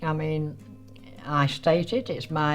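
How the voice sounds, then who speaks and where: A woman with a very deep, low pitch at a fairly slow pace, with music in the background. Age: 80s+. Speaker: letter writer. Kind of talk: interview answer.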